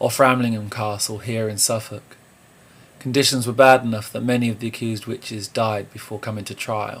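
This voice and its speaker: In a southern English accent, a man at medium pitch talks at a moderate pace with monotone, flat intonation. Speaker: musician. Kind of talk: video diary; scripted narration. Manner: quiet.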